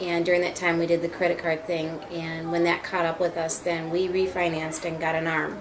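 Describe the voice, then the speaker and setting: A woman with an American accent talks at a fairly low pitch in a monotone, flat way, with audible room echo and noticeable background noise. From US Midwest, Minneapolis. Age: 40s. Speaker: homeowner facing foreclosure. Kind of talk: interview.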